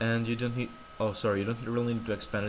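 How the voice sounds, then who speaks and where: A man's medium-pitched voice comes through over clearly audible background noise. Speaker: tech tutorial youtuber. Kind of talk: screen-recorded tutorial. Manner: halting, self-correcting.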